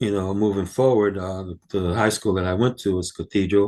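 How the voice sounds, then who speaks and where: This man talks with fairly even intonation. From New York City, Harlem. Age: 60s. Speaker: music roadie. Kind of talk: interview. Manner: halting.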